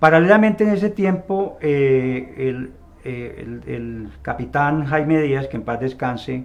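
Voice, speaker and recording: A man with a normal speaking voice and a fairly high pitch, at a fairly slow pace with lively intonation. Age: 60s. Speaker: retired army officer and polygraph expert. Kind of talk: interview.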